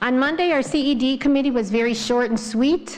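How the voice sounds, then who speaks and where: A woman speaks at a moderate pace with ordinary pitch variation in a plain, everyday voice. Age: 60s. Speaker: village trustee. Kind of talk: public board meeting report. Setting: village board meeting.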